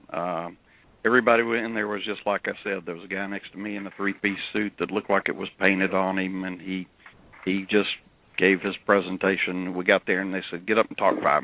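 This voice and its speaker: With a Southern US accent, a man speaks at a fairly quick pace in a fairly low, bright, sharp voice with monotone, flat intonation. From US South. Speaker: credit management professional. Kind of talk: interview storytelling. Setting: radio show.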